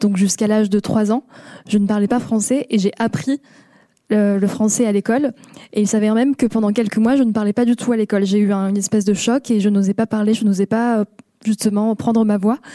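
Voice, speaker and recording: In a dry, close sound with no echo, a woman talks at a fairly quick pace with a dark, mellow tone, a fairly high pitch, fairly even intonation and very even loudness. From southeastern France, Moroccan family. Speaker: podcast creator. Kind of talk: panel discussion. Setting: stage with audience.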